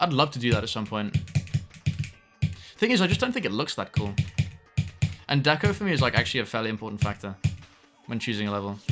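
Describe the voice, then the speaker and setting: Music plays in the background. A man with a British accent speaks with lively intonation. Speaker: video game streamer. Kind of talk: live gameplay stream chat. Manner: halting, repeating words.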